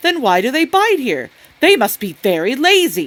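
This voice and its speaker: Using a put-on character voice, a woman talks in a high pitch with very wide pitch swings. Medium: read story. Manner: earnest, questioning.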